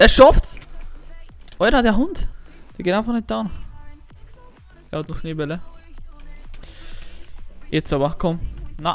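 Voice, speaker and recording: A man with a high pitch speaks at a fairly slow pace, with long, frequent pauses. His pitch swings very widely, and music plays in the background. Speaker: gaming YouTuber. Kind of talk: casual gameplay commentary.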